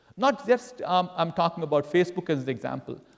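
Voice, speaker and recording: A man speaks in a high pitch at a fairly quick pace, with very wide pitch swings. There is noticeable background noise. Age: 60s. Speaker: entrepreneur. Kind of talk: Q&A after guest lecture. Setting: university class with audience. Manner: halting, many fillers.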